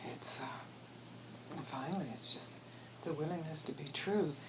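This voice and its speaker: Whispering at a fairly slow pace, a woman is heard with audible room echo and noticeable background noise. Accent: American. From US Deep South, Mississippi. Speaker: spiritual teacher. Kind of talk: interview. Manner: halting, with restarts.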